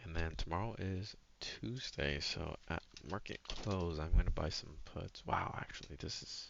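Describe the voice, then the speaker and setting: A man talks at a fairly slow pace in a very deep, low pitch. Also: ordinary pitch variation. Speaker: retail options trader, trading journal vlogger. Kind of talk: screen-share trading recap. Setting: home, recording at a computer. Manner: quiet, soft-spoken; casual, with many fillers.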